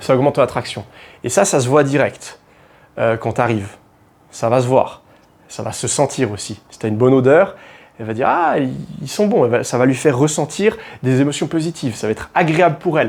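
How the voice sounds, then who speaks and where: A man talks at a fairly quick pace and medium pitch with lively intonation. His loudness swings widely, and he leaves long, frequent pauses. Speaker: dating and confidence coach. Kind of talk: motivational advice monologue. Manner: casual, informal, with hesitations.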